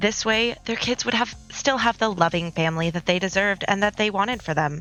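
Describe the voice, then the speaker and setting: A woman at a medium pitch and moderate pace, with ordinary pitch variation and music in the background. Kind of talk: speed art commentary, scripted read.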